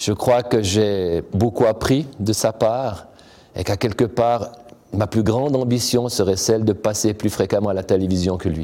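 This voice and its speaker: Here is a man with an unremarkable speaking voice, pitched fairly low. He speaks at a fairly slow pace with fairly even intonation. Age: 50s. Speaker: university sports director. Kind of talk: interview monologue.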